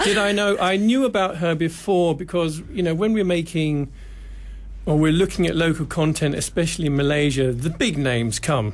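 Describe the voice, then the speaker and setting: Here a man speaks with a British accent. His pace is fairly quick and his pitch variation ordinary. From UK. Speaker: TV producer. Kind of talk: radio interview.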